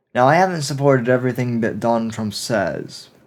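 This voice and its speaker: American accent in a man's voice, with ordinary pitch variation. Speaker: political podcaster. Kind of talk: opinion monologue.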